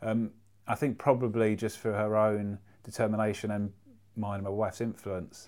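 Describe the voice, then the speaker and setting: A man with a London accent and a fairly low pitch, in a very clean recording with a silent background. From North London. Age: 40s. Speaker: artist and speaker. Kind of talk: casual chat. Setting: in person in London.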